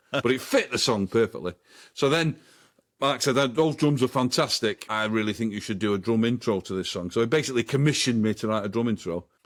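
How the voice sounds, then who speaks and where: Very clean and set against a silent background, this recording has a man speaking with a Manchester accent. He goes at a very fast pace with ordinary pitch variation. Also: medium pitch for a man. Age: 60s. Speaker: drummer, former band member. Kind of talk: interview. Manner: halting.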